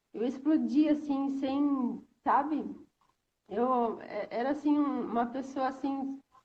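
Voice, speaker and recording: A woman's high-pitched voice at a very slow pace, with fairly even intonation. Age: 30s. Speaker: stay-at-home mother, former food engineer. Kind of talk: testimony in live stream. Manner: hesitant, many fillers.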